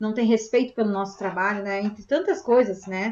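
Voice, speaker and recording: The woman talks at a fairly quick pace. Her pitch varies in an ordinary way. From southern Brazil (Rio Grande do Sul). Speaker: spiritist meeting host. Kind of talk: group discussion.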